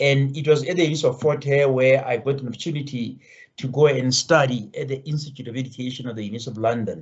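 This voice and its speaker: A very fast, somewhat breathy man's voice with a fairly high pitch. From Lesotho. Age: 60s. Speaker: education professor. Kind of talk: interview conversation. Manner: halting, with repetitions.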